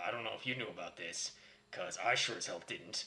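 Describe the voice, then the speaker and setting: A man puts on a raspy character voice. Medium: solo performance. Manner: sarcastic, ranting.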